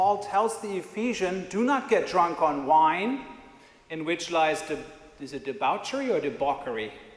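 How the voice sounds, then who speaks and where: Over noticeable background noise and audible room echo, a man speaks at a moderate pace with a high pitch and very wide pitch swings. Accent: non-native. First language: not English. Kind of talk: sermon. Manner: conversational.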